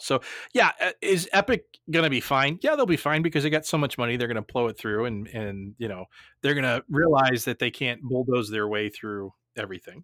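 With lively intonation, this is an ordinary speaking voice in a very clean recording with a silent background and a dry, close sound with no echo. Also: man. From New Jersey. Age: 40s. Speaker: podcast host. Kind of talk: casual chat.

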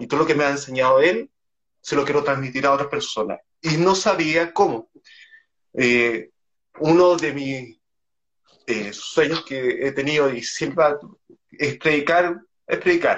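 With long, frequent pauses, a man with a fairly high pitch and ordinary pitch variation speaks at a fairly slow pace. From Chile. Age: 20s. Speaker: podcaster. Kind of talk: casual interview. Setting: Instagram live video call.

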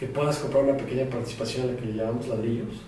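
A man at medium pitch keeps his intonation fairly even, with audible room echo and noticeable background noise in the recording. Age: 40s. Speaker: fintech entrepreneur. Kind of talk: interview. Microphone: audio problems in first 15 minutes.

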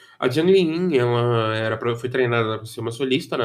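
An ordinary speaking voice moves at a moderate pace with ordinary pitch variation, set in a very clean recording against a silent background. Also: man. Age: 20s. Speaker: podcast host. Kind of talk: solo monologue podcast. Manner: casual, rambling with repetitions.

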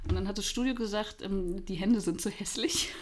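A woman's voice at medium pitch is heard with audible room echo. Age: 30s. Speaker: podcast host. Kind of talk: casual chat.

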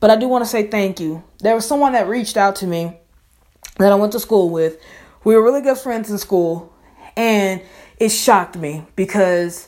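A woman with a Southern US accent talks with long, frequent pauses. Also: medium pitch for a woman, ordinary pitch variation, moderate pace. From Mississippi. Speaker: podcaster. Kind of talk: casual podcast monologue, motivational.

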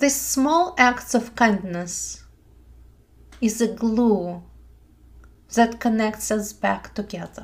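Soothing and gentle, a woman speaks very slowly with long, frequent pauses. Her fairly high voice is somewhat breathy, with lively intonation. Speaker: meditation teacher. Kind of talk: guided meditation. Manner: slow, soothing, gentle; calm, soft-spoken, measured.

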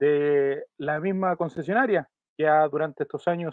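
A man speaks at a fairly slow pace in an ordinary speaking voice, his pitch fairly high with ordinary variation. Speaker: football podcast host. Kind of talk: scripted narration; casual chat.

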